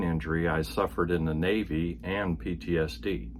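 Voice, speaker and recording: This man's voice carries vocal fry. His pitch is very deep and low. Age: 70s. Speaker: retired Navy veteran vlogger. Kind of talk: personal vlog monologue.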